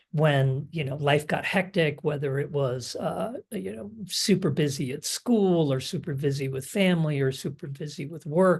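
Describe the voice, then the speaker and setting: At a moderate pace, a fairly high-pitched man speaks with hardly any pauses, ordinary pitch variation, big swings in loudness and a somewhat breathy quality against a quiet background. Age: 60s. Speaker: online fitness coaching client. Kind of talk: interview. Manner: halting, many fillers.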